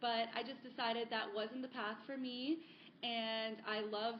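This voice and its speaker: A woman speaks with an American accent at a fairly high pitch. Noticeable background noise runs under her voice. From South Florida, US. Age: 30s. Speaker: sustainability advocate. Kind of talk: podcast interview.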